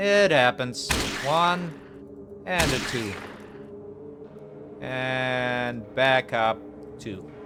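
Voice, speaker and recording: Over noticeable background noise and audible room echo, a man at medium pitch speaks at a very slow pace with lively intonation and long, frequent pauses. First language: not English. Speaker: gaming youtuber. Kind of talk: let's play commentary. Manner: casual, with filler words.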